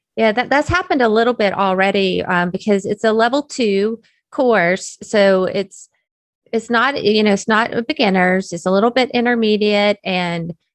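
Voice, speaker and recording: With an American accent, a woman speaks at a fairly high pitch and moderate pace with ordinary pitch variation, in a dry, close sound with no echo and a quiet background. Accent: Southern US accent, comes out when excited. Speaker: technical curriculum developer. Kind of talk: interview conversation. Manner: speeds up when excited.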